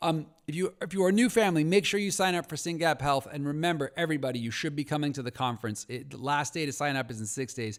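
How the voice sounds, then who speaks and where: A man speaks very fast in an animated tone, his fairly high pitch moving with ordinary variation. The recording is very clean, with a silent background. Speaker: podcast host and rare disease advocate. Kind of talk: solo podcast news roundup.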